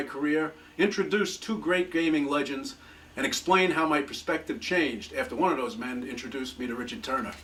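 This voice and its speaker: A man with a New York accent talks at a fairly quick pace over noticeable background noise. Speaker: retired gambling regulator and amateur magician. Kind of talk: scripted voiceover narration.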